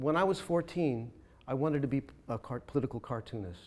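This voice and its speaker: With an American accent, a man talks fairly quickly in a plain, everyday voice, medium in pitch, with lively intonation. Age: 60s. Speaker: political cartoonist. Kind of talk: onstage conversation. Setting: stage with audience.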